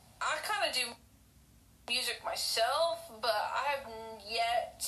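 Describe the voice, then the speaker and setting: A woman speaks in an Oklahoma accent over noticeable background noise. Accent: Oklahoma twang. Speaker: podcast host. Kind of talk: casual interview. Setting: video call. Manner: halting.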